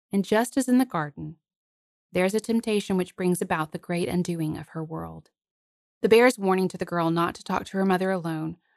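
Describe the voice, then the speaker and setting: A woman in a plain, everyday voice, medium pitch, fairly quick pace and ordinary pitch variation, dry and close with no echo. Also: big swings in loudness. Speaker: podcast host. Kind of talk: scripted narration of a fairy tale, with literary commentary.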